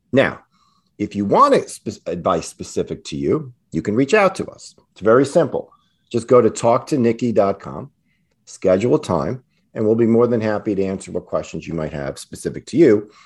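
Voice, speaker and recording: A man at medium pitch swings very widely in pitch, with vocal fry throughout. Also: moderate pace. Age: 50s. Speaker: financial planner and podcast host. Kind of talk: casual chat.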